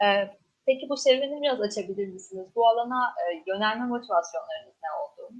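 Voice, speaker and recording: A high-pitched woman at a fairly quick pace, with lively intonation and big swings in loudness. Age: young. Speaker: student event moderator. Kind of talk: interview.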